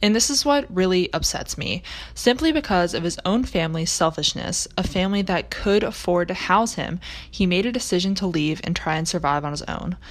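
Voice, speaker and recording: With an American accent, a woman talks at a fairly quick pace, medium pitch and lively intonation. Noticeable background noise runs underneath. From US South, Charlotte, North Carolina. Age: young. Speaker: college student, research intern. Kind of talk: scripted narration.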